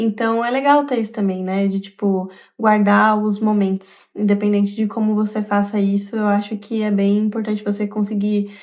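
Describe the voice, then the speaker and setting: A woman talks at a moderate pace in a plain, everyday voice. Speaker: vlogger. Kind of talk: casual vlog monologue. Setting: at home.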